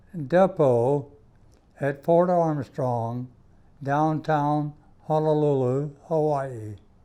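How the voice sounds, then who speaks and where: Very slow, dark, mellow male speech, fairly high in pitch, with a Southern US accent. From US South, South Carolina (Greenwood). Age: 90s. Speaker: war veteran. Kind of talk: interview testimony.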